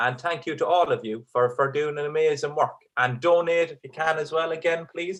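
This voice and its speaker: Here a man talks with an Irish accent at a moderate pace. His pitch is fairly high. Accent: Irish, kept despite living in England. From Ireland. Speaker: stand-up comedian. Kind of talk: stand-up; charity appeal, thanks. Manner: hesitant, many fillers and repeats; keeping voice down so kids stay asleep.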